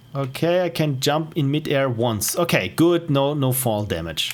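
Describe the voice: A man with an Austrian accent speaks at a medium pitch and a fairly slow pace, his intonation lively.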